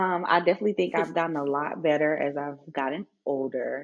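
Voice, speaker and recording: With a Southern US accent, a woman speaks at a very deep, low pitch and ordinary pitch variation. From Mississippi, US. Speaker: family nurse practitioner, essay writer. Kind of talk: podcast interview answer.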